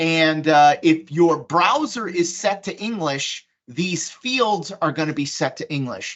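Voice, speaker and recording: A woman speaks at a very slow pace with hardly any pauses. Her intonation is lively. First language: Polish. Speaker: software presenter. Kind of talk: software demonstration. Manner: casual, conversational with fillers.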